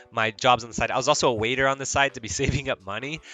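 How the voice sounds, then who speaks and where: Speaking very fast, this man has an American accent. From Mexico. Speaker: streamer. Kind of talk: casual livestream chat. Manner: rambling, many fillers and restarts.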